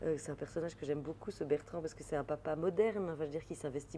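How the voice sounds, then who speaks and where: A woman with a slight Belgian accent speaks at a very fast pace, her pitch very deep and low. Her tone is dark and mellow, with ordinary pitch variation. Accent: light Belgian French. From Belgium. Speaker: comedian, actress and author. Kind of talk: interview answer.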